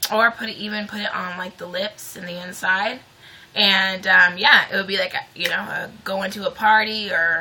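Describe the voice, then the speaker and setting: A woman's medium-pitched, monotone, flat delivery at a moderate pace, with big swings in loudness and noticeable background noise. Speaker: beauty vlogger. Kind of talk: tutorial. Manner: casual, chatty.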